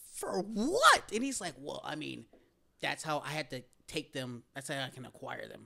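Speaking at a moderate pace, a man's voice shows big swings in loudness. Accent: American. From US South, Tennessee (outskirts of Nashville). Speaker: podcaster. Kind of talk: casual chat.

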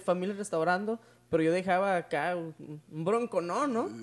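Fairly even intonation runs through speech delivered at a moderate speed. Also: man. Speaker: youth church leader. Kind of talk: casual chat. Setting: at home.

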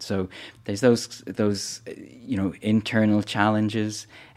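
A man speaks fairly slowly in a Dublin accent, with monotone, flat intonation. The recording is very clean, with a silent background. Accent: Irish (Dublin). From Ireland, Dublin. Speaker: foundation chief executive. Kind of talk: interview. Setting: studio. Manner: halting, many repetitions.

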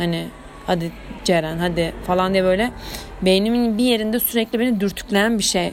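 An animated woman's voice at medium pitch, ordinary pitch variation, moderate pace and very even loudness, over noticeable background noise. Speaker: student podcaster. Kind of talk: casual monologue. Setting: at home.

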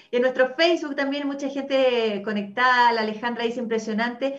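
Her voice sits high for a woman, with ordinary variation in pitch. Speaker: talk show host. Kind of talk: casual chat. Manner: animated.

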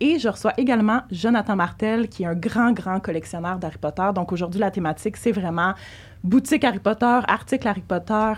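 A woman speaks at a medium pitch with a somewhat breathy quality. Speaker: podcast host. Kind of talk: casual chat. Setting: studio.

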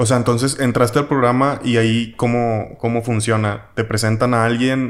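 A man's medium-pitched voice in a Mexican accent, fairly quick, with monotone, flat intonation. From Mexico. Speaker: podcast host. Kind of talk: casual chat. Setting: in person in Mexico City.

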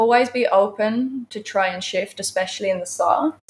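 At a moderate pace, a woman talks in an ordinary speaking voice with ordinary pitch variation. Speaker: yoga teacher. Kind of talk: casual live interview. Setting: live studio.

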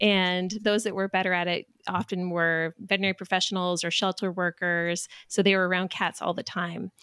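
In a medium-pitched voice, a woman speaks at a moderate pace with hardly any pauses and monotone, flat intonation. The sound is dry and close with no echo, and the recording is very clean over a silent background. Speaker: podcast host. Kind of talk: casual interview chat.

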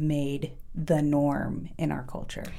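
Very deep and low in pitch, a woman's voice has a dark, mellow tone with audible room echo. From Oregon, US (small farm town). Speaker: podcast co-host. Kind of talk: casual chat. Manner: animated.

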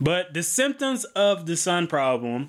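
The man has an American accent. He talks at a very slow pace. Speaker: farm podcast host. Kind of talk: educational talk with casual tone. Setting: home recording. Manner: casual, joking.

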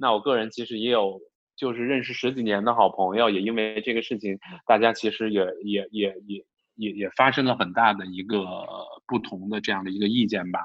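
Using a normal speaking voice, a man talks at a fairly quick pace in a fairly low pitch with fairly even intonation. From China, Wuhan. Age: middle-aged. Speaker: podcast co-host. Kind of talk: casual chat.

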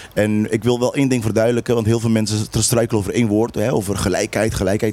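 There is noticeable background noise. Through it, a man talks with a fairly low pitch. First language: Papiamentu (speaking Dutch). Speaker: local politician. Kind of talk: heated debate.

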